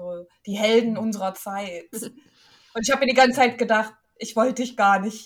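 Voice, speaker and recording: Somewhat breathy, a woman speaks with a fairly high pitch and fairly even intonation. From eastern Germany. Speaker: gaming podcast co-host. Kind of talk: casual chat.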